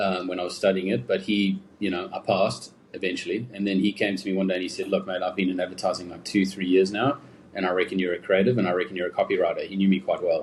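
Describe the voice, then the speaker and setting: Talking at a very fast pace, a man speaks with a South African accent. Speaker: advertising creative director. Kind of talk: interview. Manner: casual, many fillers.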